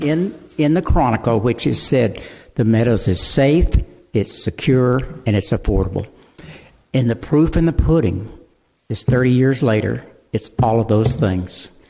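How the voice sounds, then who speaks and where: A medium-pitched man at a moderate pace, with ordinary pitch variation. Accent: Texan. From Texas, Houston area. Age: 80s+. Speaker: local developer speaking at public comment. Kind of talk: public comment at a town hall meeting. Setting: city council town hall meeting. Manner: halting, repeats words.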